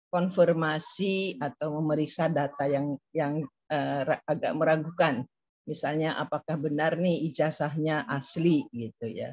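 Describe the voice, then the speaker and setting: Her voice is very deep and low for a woman, with ordinary pitch variation at a moderate pace. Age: 70s. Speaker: professor. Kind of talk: lecture. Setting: video call. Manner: halting, many fillers.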